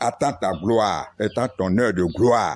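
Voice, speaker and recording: A man speaks at a very slow pace. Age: 60s. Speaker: retired civil servant and former village chief. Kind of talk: political appeal.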